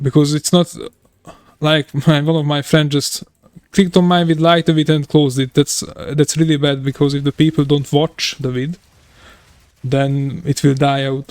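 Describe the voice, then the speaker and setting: At a moderate pace, a man with a Hungarian accent speaks in a fairly high pitch with monotone, flat intonation, the sound dry and close with no echo. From Hungary. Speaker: video game streamer. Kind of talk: live stream casual chat. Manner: halting.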